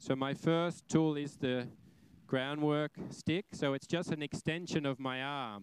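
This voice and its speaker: Speaking with an Australian accent at a fairly slow pace, a man uses a fairly high pitch and ordinary pitch variation, the sound dry and close with no echo. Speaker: horse trainer. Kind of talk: live demonstration lecture. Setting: arena with audience. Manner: animated.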